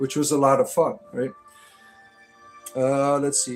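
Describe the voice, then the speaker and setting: Over music in the background, a man talks at a fairly slow pace in a fairly high pitch, his intonation monotone and flat. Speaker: livestreamer doing comedy and spirituality. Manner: casual, rambling with fillers.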